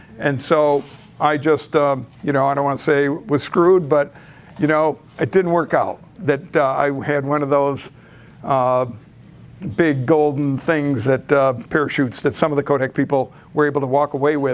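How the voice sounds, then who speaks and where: Speaking at a moderate pace with a normal speaking voice, a man with an American accent holds fairly even intonation at a fairly high pitch. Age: 60s. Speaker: real estate investor, presenter. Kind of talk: presentation at a meeting.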